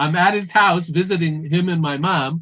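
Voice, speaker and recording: A man speaks at a moderate pace in a fairly high pitch, with ordinary pitch variation and an ordinary speaking voice. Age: 60s. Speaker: functional nutrition practitioner. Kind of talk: conference talk.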